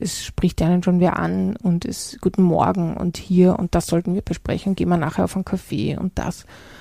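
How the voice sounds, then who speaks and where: A woman's dark, mellow voice, fairly low in pitch. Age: 40s. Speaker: leadership consultant and podcast host. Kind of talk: solo podcast monologue.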